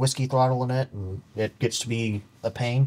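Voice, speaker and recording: A man's somewhat breathy voice has a dark, mellow tone and fairly even intonation. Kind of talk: tutorial. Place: garage.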